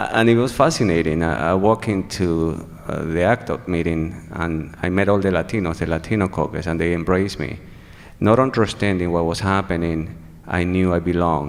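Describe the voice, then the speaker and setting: Speaking at a fairly quick pace with a Venezuelan accent, a man has a very deep, low pitch with ordinary variation. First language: Spanish. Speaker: HIV activist. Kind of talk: testimony. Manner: halting.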